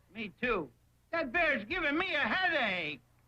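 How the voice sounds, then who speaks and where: At a moderate pace, someone delivers lines in a cartoonish character voice. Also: high pitch. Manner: goofy, whiny.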